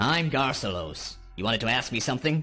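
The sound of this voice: Over faint music in the background, a man puts on a strained character voice at a medium pitch.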